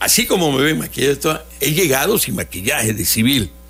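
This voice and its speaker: Through noticeable background noise, a man's words arrive at a moderate pace. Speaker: children's entertainer (magician). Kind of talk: radio interview. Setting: radio studio.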